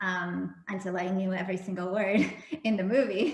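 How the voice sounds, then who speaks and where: A woman speaks at medium pitch in a Russian accent, with ordinary pitch variation. Her pace is fairly slow, and there is noticeable background noise. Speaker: romance novelist. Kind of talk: casual interview.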